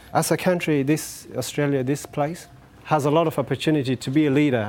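A man speaks at a moderate pace with an Afghan accent and ordinary pitch variation, with music playing in the background. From Afghanistan. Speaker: community development officer and former refugee. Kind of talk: personal testimony talk. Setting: dinner event with audience.

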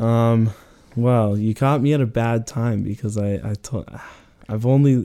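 A medium-pitched male voice with an American accent, dark and mellow in tone, at a fairly slow pace. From Arizona, Phoenix area. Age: 20s. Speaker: college student on a break. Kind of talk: casual interview.

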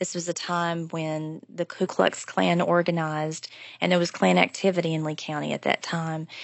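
A woman's fairly low voice in an Appalachian accent, with fairly even intonation at a moderate pace. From Appalachia (southwest Virginia). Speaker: professor of Appalachian studies. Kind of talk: interview.

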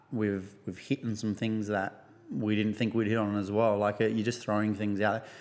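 With an Australian accent, a man speaks at a fairly low pitch and moderate pace in a monotone, flat delivery. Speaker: gym owner. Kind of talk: casual interview.

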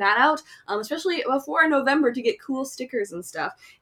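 A woman with a high pitch projects her raised voice in a bright, sharp tone, talking at a fairly quick pace with lively intonation. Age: 20s. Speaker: podcast host. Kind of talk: casual chat.

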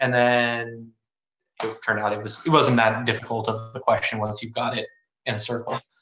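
Speaking fairly quickly with an American accent, a man holds a medium pitch in a monotone, flat intonation. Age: 20s. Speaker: law school applicant, Marine veteran. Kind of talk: casual interview. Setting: online live stream with audience.

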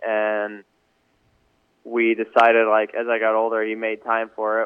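Speaking in an American accent, a man keeps a monotone, flat intonation. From Michigan. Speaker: professional motocross racer. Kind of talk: casual interview.

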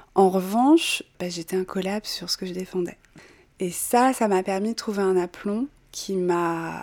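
This woman's voice has a medium pitch and a dark, mellow tone. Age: young. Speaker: natural wine distributor. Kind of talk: interview. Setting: at her home.

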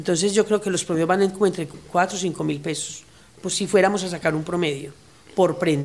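This woman has an unremarkable speaking voice, fairly low in pitch with fairly even intonation. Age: 50s. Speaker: garment workshop manager. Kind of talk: interview testimony.

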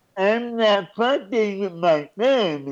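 A mumbled, put-on character voice at a middle pitch and a fairly slow pace. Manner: exaggerated, comedic.

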